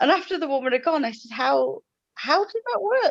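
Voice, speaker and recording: The pace of this speech is moderate. It comes with an English accent. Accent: very English. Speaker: live chat participant. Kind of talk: casual chat.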